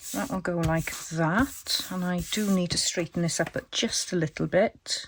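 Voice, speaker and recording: In a Welsh accent, a woman talks at a fairly slow pace with a fairly low pitch. Her voice is somewhat breathy, with ordinary pitch variation. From Wales. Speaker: crafting YouTuber. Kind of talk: tutorial. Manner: casual, chatty.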